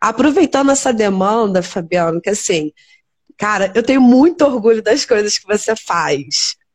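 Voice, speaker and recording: Her fairly high voice swings very widely in pitch as this woman speaks at a moderate pace, the sound dry and close with no echo. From Teresópolis, Rio de Janeiro state, Brazil. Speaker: nurse and live stream host. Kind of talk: interview on a live stream.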